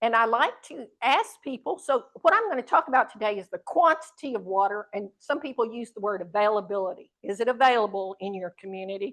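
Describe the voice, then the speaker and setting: With a plain, everyday voice and an American accent, a woman talks at a fairly quick pace and fairly high pitch, with hardly any pauses, lively intonation and big swings in loudness. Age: 60s. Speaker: speaker on water issues. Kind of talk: talk to audience. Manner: conversational, interactive.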